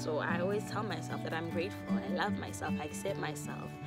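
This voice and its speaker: A woman at a fairly quick pace, dry sound with no echo, loud music in the background. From South Africa. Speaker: YouTuber. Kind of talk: casual talk to camera. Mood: warm, earnest. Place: garden. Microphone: phone near.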